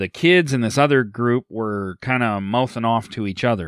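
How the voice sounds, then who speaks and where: A man speaks at a medium pitch in a Canadian Prairie accent. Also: very clean recording, silent background. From central Alberta, Canada. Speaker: podcast host. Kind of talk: casual chat.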